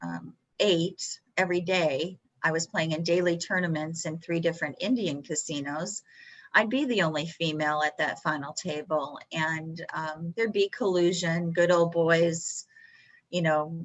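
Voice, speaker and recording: A Texan accent comes through at a fairly slow pace, with intonation that stays fairly even. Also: woman, fairly low pitch for a woman. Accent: Texan American. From Texas. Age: 60s. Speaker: professional poker player. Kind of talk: interview.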